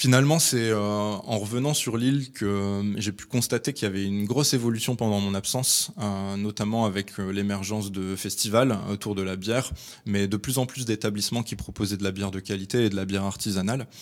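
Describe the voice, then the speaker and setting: A man's plain, everyday voice, fairly low in pitch and fairly even in intonation, at a fairly quick pace with hardly any pauses, on a very clean recording with a silent background. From northern France, Lille. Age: 30s. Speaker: craft brewer. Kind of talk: interview.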